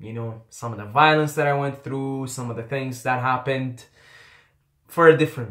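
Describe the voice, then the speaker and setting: A man with an Arabic accent talks at a moderate pace and medium pitch, his loudness swinging widely. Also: ordinary pitch variation. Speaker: YouTuber. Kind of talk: personal storytelling.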